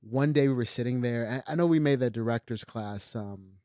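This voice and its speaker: This man speaks at a medium pitch with ordinary pitch variation, and the sound is dry and close with no echo. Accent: Californian. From Los Angeles, US. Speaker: filmmaker. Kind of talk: casual chat. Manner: mumbling.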